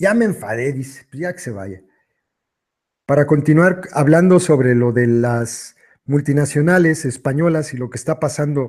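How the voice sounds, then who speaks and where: Fairly high in pitch, a man talks at a moderate pace with ordinary pitch variation on a very clean recording with a silent background. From Mexico, Michoacán. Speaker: online commentator reading political texts. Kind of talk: live stream chat. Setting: live stream.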